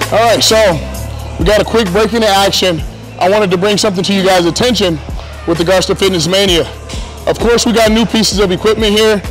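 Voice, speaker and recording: A man's high voice at a very fast pace, fairly even in intonation, with faint music in the background. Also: very even loudness. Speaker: gym owner or coach. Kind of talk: walkthrough commentary. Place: gym. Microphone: lapel.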